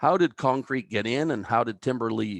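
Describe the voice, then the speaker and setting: In a normal speaking voice, a man at medium pitch talks at a moderate pace with lively intonation, the sound dry and close with no echo against a quiet background. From Canada, New Brunswick (Albert County). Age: 60s. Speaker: timber engineer. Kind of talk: lecture.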